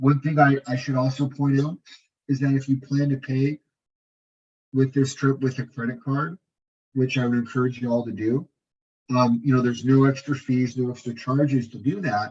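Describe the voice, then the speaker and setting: Somewhat breathy and medium in pitch, a man speaks at a moderate pace with fairly even intonation and long, frequent pauses. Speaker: tour presenter at informational meeting. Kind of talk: informational presentation. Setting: meeting room with audience. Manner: halting, many repetitions.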